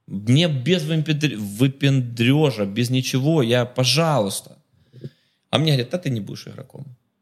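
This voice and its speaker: A man speaks at a medium pitch in an animated tone, his loudness swinging widely. His pace is fairly slow, with ordinary pitch variation. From Ukraine, Kharkiv. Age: 30s. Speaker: businessman. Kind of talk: casual chat.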